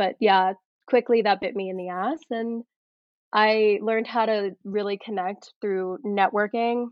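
At a fairly slow pace, a woman with an unremarkable speaking voice talks fairly high in pitch, her intonation fairly even. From Colorado. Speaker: actor and screenwriter. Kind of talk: interview.

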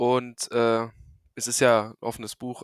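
A man is talking. His pitch is medium. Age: 20s. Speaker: electronics technician and local council candidate. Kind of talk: casual interview. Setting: remote recording from home.

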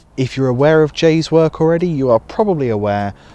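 The intonation is lively. It comes from a man. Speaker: podcast host, musician and music educator. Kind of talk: podcast intro and interview. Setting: outdoors. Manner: rambling.

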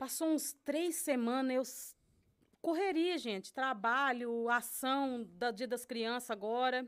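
Against a silent background on a very clean recording, a woman speaks at a very slow pace with high pitch and ordinary pitch variation. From Brazil, interior of São Paulo state. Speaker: Brazilian immigrant, social volunteer. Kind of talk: casual chat.

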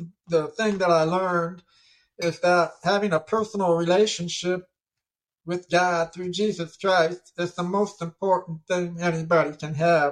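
In an American accent, the speaker talks at a fairly slow pace with monotone, flat intonation. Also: man. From Ohio, US. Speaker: deaf tennis champion and motivational speaker. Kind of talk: interview storytelling. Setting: studio.

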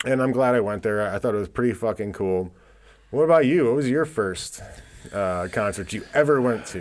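A man talks at a medium pitch with lively intonation. He has a normal speaking voice. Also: moderate pace. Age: 40s. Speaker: podcast host. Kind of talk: casual chat.

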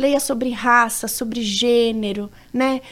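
A woman with a plain, everyday voice speaks at a fairly high pitch with fairly even intonation, recorded very cleanly against a silent background. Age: 30s. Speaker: human rights educator, nonprofit founder. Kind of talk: interview.

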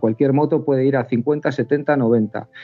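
A man at a medium pitch. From Basque Country (Bilbao), raised in Cantabria. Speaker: motorcycle club organiser. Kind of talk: casual chat. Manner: fast, rapid-fire talker; laughs often.

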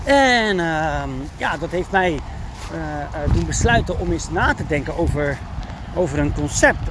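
Noticeable background noise accompanies speech delivered fairly slowly. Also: man. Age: 30s. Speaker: dog trainer and podcast host. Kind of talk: solo podcast monologue. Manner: frequent fillers and hesitations.

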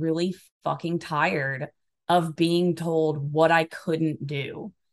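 A woman with an American accent speaks at a very slow pace and fairly low pitch. The background is quiet. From Alabama, US South. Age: 30s. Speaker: personal coach and stand-up comedian. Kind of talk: casual interview chat. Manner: talkative.

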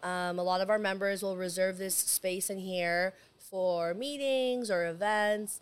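With an American accent, a woman speaks at a fairly slow pace and a medium pitch with ordinary variation, while audible room echo surrounds her voice. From San Diego, California. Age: 30s. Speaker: cigar lounge owner. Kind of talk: casual chat. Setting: in a cigar lounge.

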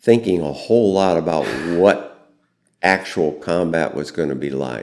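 Speaking at a fairly slow pace with a Midwestern American accent, a man uses ordinary pitch variation. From US Midwest, central Illinois. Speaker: war veteran. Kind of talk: interview. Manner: calm, gentle.

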